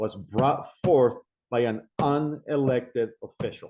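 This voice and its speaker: With a non-native accent, a man talks at a medium pitch and varies it in an ordinary way. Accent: foreign. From immigrant, abroad. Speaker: city council candidate. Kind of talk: interview.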